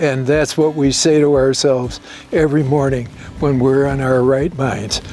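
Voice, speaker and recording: With music playing in the background, a man with an American accent speaks at a moderate pace in a fairly high voice, his intonation fairly even and his loudness very even. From New York City. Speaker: winery owner. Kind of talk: interview answer.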